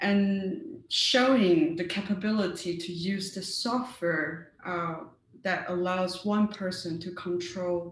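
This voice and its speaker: A woman's fairly low voice with a Mandarin accent, very slow pace and ordinary pitch variation, amid audible room echo and noticeable background noise. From Taiwan. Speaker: cybersecurity researcher. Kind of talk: conference talk. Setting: virtual meetup. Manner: hesitant with frequent fillers.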